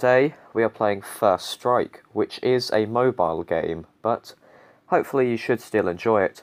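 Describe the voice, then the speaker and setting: At a fairly slow pace, a man with a British accent speaks at a medium pitch and a very even loudness. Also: ordinary pitch variation. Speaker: gaming YouTuber. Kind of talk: gameplay commentary. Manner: casual, hesitant with fillers.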